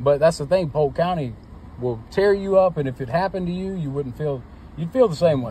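This man has an ordinary speaking voice, fairly high in pitch, with lively intonation and a fairly quick pace. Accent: American. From Florida, Auburndale. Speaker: motorist pulled over by police. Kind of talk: roadside argument with police. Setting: outdoors, traffic stop. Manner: agitated.

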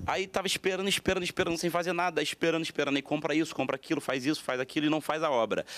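A man at a very fast pace with hardly any pauses, fairly high in pitch and with ordinary pitch variation. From Brazil. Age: 20s. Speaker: pastor. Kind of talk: TV panel debate. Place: studio. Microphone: handheld.

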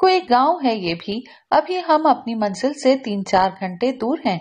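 Against a quiet background, a woman speaks at a high pitch with very wide pitch swings. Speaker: audiobook narrator. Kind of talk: audio novel narration. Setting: studio voice-over recording. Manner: expressive storytelling, shifting tone between narration and character dialogue.

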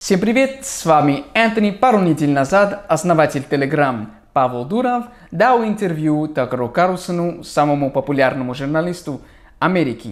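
A man with an American accent speaks at a moderate pace in a fairly high pitch, his voice swinging very widely in pitch. The background is quiet. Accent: American accent in Russian. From USA. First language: English (speaking Russian). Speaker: English tutor, YouTuber. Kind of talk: video reaction commentary.

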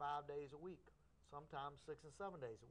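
At a fairly quick pace, a man with a fairly high pitch speaks in a fairly even intonation. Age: 50s. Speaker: karate instructor. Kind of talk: interview on local cable access show. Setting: TV studio. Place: studio.

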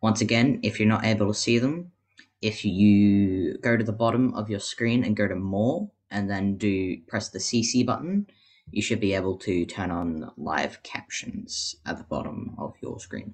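At a fairly slow pace, a man with an Australian accent speaks with ordinary pitch variation. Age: young. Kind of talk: webinar panel.

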